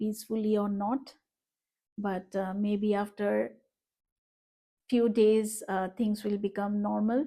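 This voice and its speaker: A woman with a Bengali accent speaks at a very slow pace, with monotone, flat intonation. Her voice is fairly high in pitch, with a dark, mellow tone. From Northeast India. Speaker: vlogger. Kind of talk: personal vlog. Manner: hesitant, many fillers.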